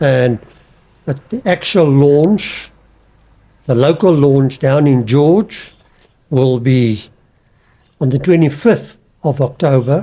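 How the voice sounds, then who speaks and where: A man with a dark, mellow tone speaks at a fairly high pitch with ordinary pitch variation. His pace is very slow, with long, frequent pauses. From South Africa. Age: 70s. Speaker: veteran marathon runner and author. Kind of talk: podcast interview.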